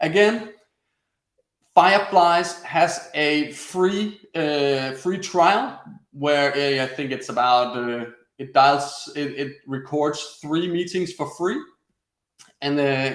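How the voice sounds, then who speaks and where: A man with a Danish accent speaks at a very slow pace, leaving long, frequent pauses. His pitch is fairly high, with ordinary variation. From Denmark. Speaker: webinar presenter, former sales coach. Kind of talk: webinar tutorial. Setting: online webinar broadcast.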